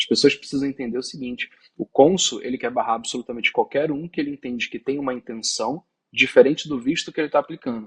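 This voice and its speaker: In a dry, close sound with no echo, a man talks at a very fast pace. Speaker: visa consultant. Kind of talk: interview.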